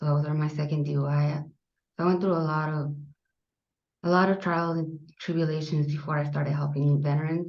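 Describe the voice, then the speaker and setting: A woman's very deep, low voice, fairly quick and monotone, with audible room echo. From US Southwest, South Phoenix, Arizona. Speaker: army veteran. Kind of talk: interview.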